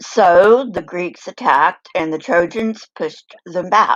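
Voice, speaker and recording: Using a raspy, put-on character voice, a woman speaks at a fairly low pitch. She talks at a fairly slow pace with lively intonation. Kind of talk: documentary narration. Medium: read story. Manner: measured, lightly wry.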